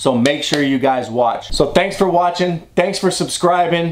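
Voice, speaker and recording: A man speaks at a moderate pace. His pitch moves with ordinary variation. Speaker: vlogger. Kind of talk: casual vlog chat. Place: home room. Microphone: phone near.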